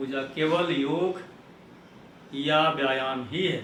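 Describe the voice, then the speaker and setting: Over noticeable background noise and audible room echo, a man speaks at a fairly high pitch with fairly even intonation. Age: 60s. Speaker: yoga video creator. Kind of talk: instructional tutorial. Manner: formal.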